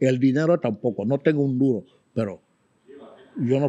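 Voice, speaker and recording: Recorded with a dry, close sound and no echo, a man with a dark, mellow tone speaks at medium pitch and a fairly quick pace. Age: 70s. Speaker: exiled writer and interviewee. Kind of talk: interview.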